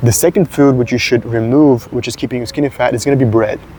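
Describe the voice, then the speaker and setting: A man's medium-pitched voice with a Serbian accent, over noticeable background noise. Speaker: fitness content creator. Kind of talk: casual talking-head advice video. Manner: hesitant, frequent filler 'uh'.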